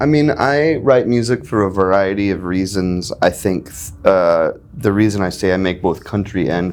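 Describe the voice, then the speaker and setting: Here a man talks with an American accent. He keeps a moderate pace. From US South, North Carolina. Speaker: country and folk musician. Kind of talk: interview. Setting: backstage at a festival. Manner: halting, many fillers.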